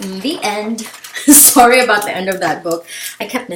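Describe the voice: Ordinary pitch variation in plain reading aloud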